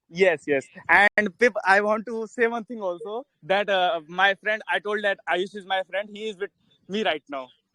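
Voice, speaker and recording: A man with an Indian accent talks at a high pitch. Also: ordinary pitch variation, moderate pace. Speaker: crypto investor in online class audience. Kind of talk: casual question in live online session.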